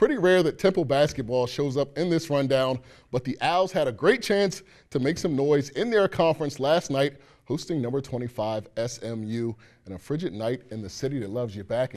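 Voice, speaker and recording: Speaking fairly quickly in an ordinary speaking voice, a man uses a fairly high pitch and lively intonation over a quiet background. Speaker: sports anchor and reporter. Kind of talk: live sports interview question and studio anchoring.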